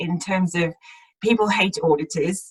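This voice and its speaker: A woman speaks with a slight South African accent at a moderate pace. Her voice is somewhat breathy. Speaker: accountant, audit partner. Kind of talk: career talk in webinar.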